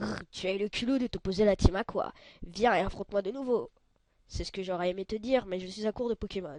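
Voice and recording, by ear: Reading aloud, this speaker uses a natural voice whose pitch moves a normal amount.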